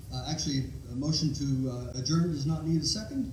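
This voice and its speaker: Fairly quick delivery with ordinary pitch variation, audible room echo and noticeable background noise. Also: man. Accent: American. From Ohio. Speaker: pastor. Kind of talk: chairing a congregational meeting; sermon and worship leading. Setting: church.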